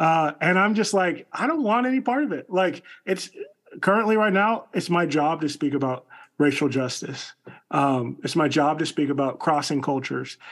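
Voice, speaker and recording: A man with an American accent has an unremarkable speaking voice at a fairly high pitch. He talks at a moderate pace with lively intonation. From US suburbs. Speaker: podcast co-host. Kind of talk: casual chat.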